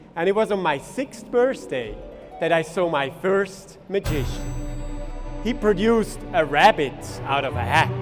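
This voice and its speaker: With music in the background, a high-pitched man speaks at a fairly slow pace, leaving long, frequent pauses as his pitch swings very widely. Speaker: stage illusionist. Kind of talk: live stage performance narration.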